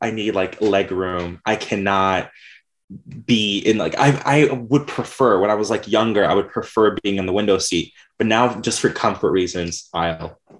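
A man with an ordinary speaking voice talks at a moderate pace in a fairly low pitch with ordinary pitch variation, captured in a very clean recording with a silent background. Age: 20s. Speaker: graphic designer and podcaster. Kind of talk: casual interview.

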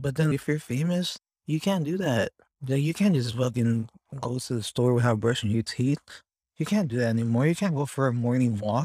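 A man with a Californian accent speaks at a moderate pace and medium pitch, his tone dark, mellow and somewhat breathy, with ordinary pitch variation. The recording is very clean, with a silent background and a dry, close sound with no echo. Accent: Californian American English. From US West Coast, Los Angeles. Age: 30s. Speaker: solo podcaster. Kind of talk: casual monologue. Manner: halting, many fillers.

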